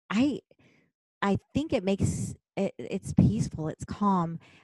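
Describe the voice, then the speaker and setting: A woman with a medium-pitched, somewhat breathy voice and a dark, mellow tone speaks at a fairly slow pace with very wide pitch swings. The sound is dry and close, with no echo. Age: 50s. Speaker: teacher. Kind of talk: casual chat.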